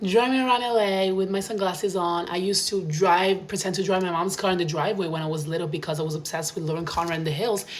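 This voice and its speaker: Animated and very fast, a woman talks amid noticeable background noise and audible room echo. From Italy, small town. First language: Italian. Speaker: vlogger. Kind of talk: casual monologue.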